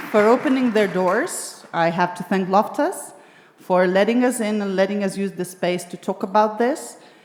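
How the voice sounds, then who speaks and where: Noticeable background noise runs beneath a woman with a Lithuanian accent who talks at a moderate pace, medium pitch and ordinary pitch variation. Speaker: discussion moderator. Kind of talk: panel discussion moderation. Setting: stage with live audience at arts venue.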